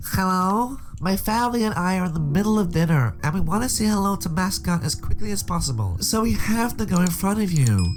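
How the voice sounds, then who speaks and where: A man's put-on character voice, nasal and high-pitched, at a fairly quick pace with hardly any pauses, over clear background noise. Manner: demanding, impatient.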